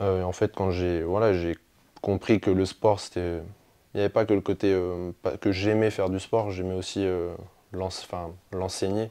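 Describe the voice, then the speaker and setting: A man speaks at a moderate pace in a very deep, low voice, his intonation flat and monotone, against a quiet background. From France, Lorraine (near Jarny). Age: 20s. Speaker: sports coach. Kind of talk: interview. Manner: hesitant, many fillers.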